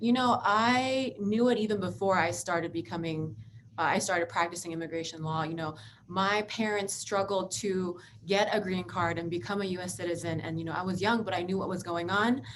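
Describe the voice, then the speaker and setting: A woman with an American accent and a plain, everyday voice, medium in pitch, fairly quick, with lively intonation. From Philadelphia, US. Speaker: lawyer. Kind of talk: interview.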